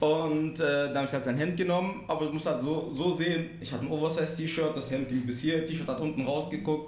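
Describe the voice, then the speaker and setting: A man talks at a fairly quick pace with hardly any pauses, his pitch fairly high and his intonation fairly even. Noticeable background noise and audible room echo surround him. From Marbach area, Baden-Württemberg (moved from abroad at nine). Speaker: podcast guest, music lover. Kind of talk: casual chat.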